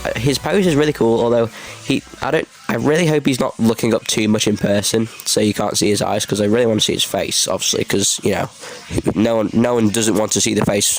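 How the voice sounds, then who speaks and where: Noticeable background noise sits under speech whose pitch varies in an ordinary way. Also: man, medium pitch for a man. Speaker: merch reviewer. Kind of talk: casual talk to camera.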